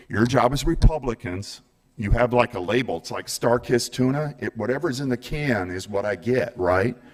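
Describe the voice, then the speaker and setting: In an animated tone, a man talks at a moderate pace and a medium pitch. His pitch variation is ordinary. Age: 60s. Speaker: public commenter. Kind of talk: public comment at government meeting.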